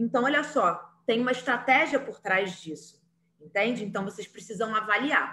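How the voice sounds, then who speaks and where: With an unremarkable speaking voice, a woman talks at a moderate pace and a fairly high pitch, with ordinary pitch variation and big swings in loudness. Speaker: teacher. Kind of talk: online lecture.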